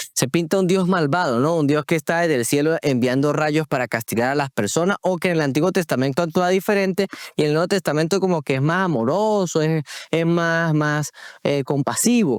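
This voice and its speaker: The speech moves at a fairly quick pace with ordinary pitch variation and very even loudness. The recording is very clean with a silent background, and the sound is dry and close with no echo. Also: man. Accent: Andean Venezuelan. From Venezuela, Táchira. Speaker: podcast host. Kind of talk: religious podcast conversation. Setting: recording on location in Táchira.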